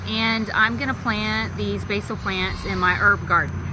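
At a fairly slow pace, a woman speaks in a dry sound with no echo. Noticeable background noise is present. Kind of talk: tutorial. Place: garden.

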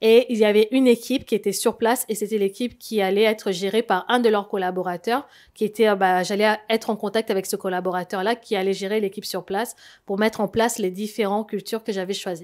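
A woman at a very fast pace, fairly high-pitched and monotone with flat intonation, over a quiet background. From Congo. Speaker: scam victim; interview guest. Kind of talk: testimony. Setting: studio. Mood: earnest, recounting a scam. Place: studio. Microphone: handheld.

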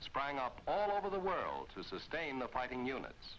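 A man speaks with lively intonation. He keeps a moderate pace. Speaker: film narrator. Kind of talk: 1950s navy training film narration, scripted and stately. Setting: archive film soundtrack. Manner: formal, brisk and authoritative, with a crisp newsreel-style delivery; declamatory and even, with rhythmic emphatic phrasing.

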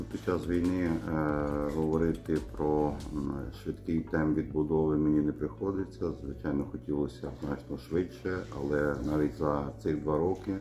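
Light background noise sits behind a man whose pitch is very deep and low. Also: ordinary pitch variation, fairly slow pace. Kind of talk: interview answer. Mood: serious, measured. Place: office. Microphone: phone near.

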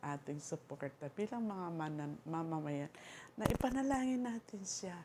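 Here is a woman with a fairly low pitch. She moves at a moderate pace, her pitch swinging very widely. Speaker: vlogger. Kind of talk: casual monologue. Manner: halting.

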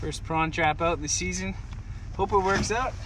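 At a moderate pace with ordinary pitch variation, the voice comes through clear background noise. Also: man, high pitch for a man.

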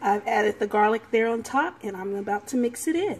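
The woman's intonation is lively. Her voice is somewhat breathy. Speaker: home cook vlogger. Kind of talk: casual cooking tutorial. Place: kitchen.

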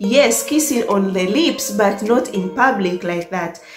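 A woman at a fairly slow pace, with audible room echo and clear music in the background. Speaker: vlogger. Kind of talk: casual storytime vlog chat. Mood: cheerful, laughing often. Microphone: phone near.

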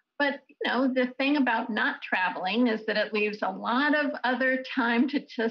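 Against a quiet background, a woman talks at a fairly slow pace in a bright, sharp tone with ordinary pitch variation. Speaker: guest. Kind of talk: interview answer. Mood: warm, upbeat. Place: home room. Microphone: video call.

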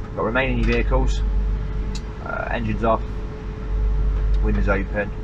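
A man talks at a fairly quick pace against noticeable background noise. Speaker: road trip vlogger. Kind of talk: casual vlog chat. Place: car. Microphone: phone near.

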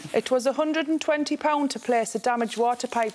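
A woman speaks fairly quickly at a high pitch with ordinary pitch variation. Light background noise is audible. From North East England. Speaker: litigant on a TV court show. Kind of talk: courtroom TV show testimony. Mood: aggrieved, indignant. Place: stage. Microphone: podium.

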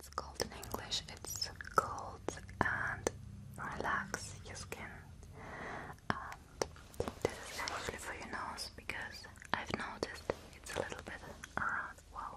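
With loud background noise behind her, a woman speaks at a very slow pace, leaving long, frequent pauses. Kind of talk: soft role-play talk to the viewer. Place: home room.

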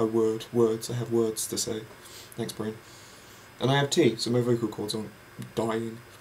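Moderate pace, monotone, flat intonation, an English accent, light background noise, and long, frequent pauses. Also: man, medium pitch for a man. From England. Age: young. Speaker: vlogger. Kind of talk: casual monologue; casual vlog chat. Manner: rambling, halting. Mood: relaxed, rambling, happy. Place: home room. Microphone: webcam.

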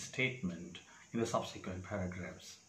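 A somewhat breathy man speaks with fairly even intonation. There is audible room echo. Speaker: exam preparation tutor. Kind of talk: tutorial. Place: home room. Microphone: lapel.

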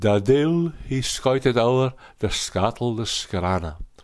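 On a very clean recording with a silent background, a man with a Shetland accent speaks at a very slow pace with lively intonation. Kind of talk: poetry reading.

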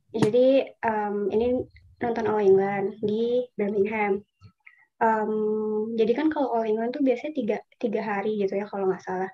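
Fairly even intonation marks a woman's speech at a moderate pace. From Indonesia. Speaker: scholarship alumna, urban planner. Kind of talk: casual webinar talk. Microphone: video call.

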